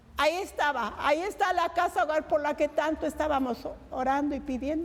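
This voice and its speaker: With noticeable noise behind her, a woman talks at a fairly quick pace in a high pitch. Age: 80s+. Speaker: lay preacher. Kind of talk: testimony. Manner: animated.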